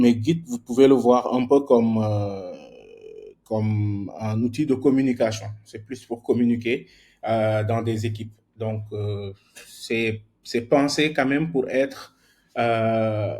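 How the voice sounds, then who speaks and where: Very slow and broken by long, frequent pauses, a man speaks at a medium pitch with fairly even intonation and a dark, mellow tone. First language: more at ease in English than French (speaking French). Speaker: software engineer teaching a workshop. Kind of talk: online workshop lecture. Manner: halting, many repetitions and fillers.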